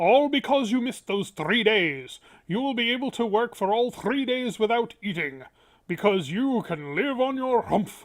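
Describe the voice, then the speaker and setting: This is a put-on character voice with a fairly high pitch. It moves at a moderate pace. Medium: read story. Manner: wry, authoritative.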